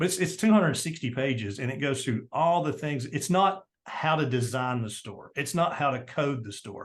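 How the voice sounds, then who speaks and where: A man with a Tennessee accent, fairly high in pitch and somewhat breathy, with lively intonation, against a quiet background. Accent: Southern US (Tennessee). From US South, Tennessee. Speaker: entrepreneur and marketing guest. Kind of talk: interview. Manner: fast; animated.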